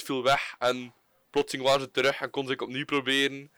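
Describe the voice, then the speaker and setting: Speaking at a fairly quick pace, a man with a Flemish accent has a medium-pitched voice with a bright, sharp tone. The sound is dry and close, with no echo. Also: very clean recording, silent background. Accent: Flemish Dutch. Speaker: podcast co-host. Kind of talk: casual chat.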